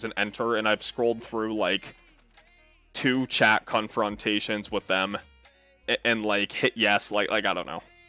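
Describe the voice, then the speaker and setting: A man with a fairly low voice speaks at a moderate pace in a flat monotone. The sound is dry and close with no echo, with music in the background. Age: 20s. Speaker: game streamer. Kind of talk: casual chat. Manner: casual, filler-heavy.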